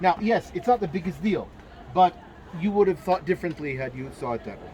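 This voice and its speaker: A high-pitched man with lively intonation and a fairly quick pace, crowd noise audible behind him. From Jerusalem, Israel. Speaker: tour guide instructor. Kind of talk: lecture.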